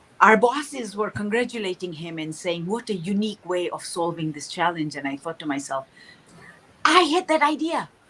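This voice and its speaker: A woman talks at a moderate pace and a medium pitch, with very wide pitch swings and big swings in loudness. Noticeable background noise sits behind her. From Tanzania. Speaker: author and speaker. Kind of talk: interview. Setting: livestream.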